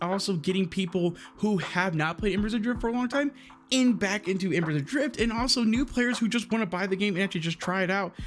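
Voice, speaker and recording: The speaker talks at a very fast pace in an excited tone, with ordinary pitch variation and very even loudness. Music plays in the background. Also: man. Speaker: gaming streamer. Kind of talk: casual video commentary. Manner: stuttering, excited.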